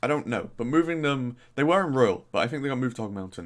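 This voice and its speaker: With a Norfolk accent, this man sounds animated, his medium-pitched voice carrying lively intonation. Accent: faint Norfolk. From Norfolk, England. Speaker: gaming YouTuber. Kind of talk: casual commentary.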